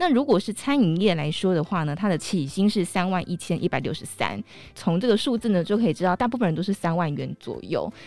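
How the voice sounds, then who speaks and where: With music in the background, a woman rushes along at a very fast pace, hardly pausing. Her medium-pitched voice has lively intonation. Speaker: podcast host. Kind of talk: casual interview.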